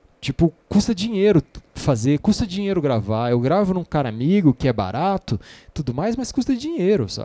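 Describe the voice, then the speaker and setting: In a very clean recording with a silent background and a dry, close sound with no echo, a man with a dark, mellow tone and a high pitch speaks at a moderate pace with very wide pitch swings. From Brasília. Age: 40s. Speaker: musician and songwriter. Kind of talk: casual chat. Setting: studio.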